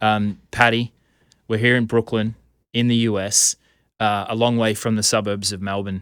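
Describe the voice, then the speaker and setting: Recorded very cleanly against a silent background, with a dry, close sound and no echo, a man talks in a fairly low pitch with monotone, flat intonation and long, frequent pauses. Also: moderate pace. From Australia. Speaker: podcast host. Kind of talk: podcast interview. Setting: studio.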